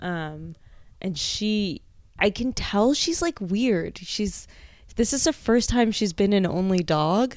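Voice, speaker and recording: On a very clean recording with a silent background, a woman with an American accent speaks at a very slow pace, her medium pitch carried by lively intonation. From New Jersey. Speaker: comedian. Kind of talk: casual chat.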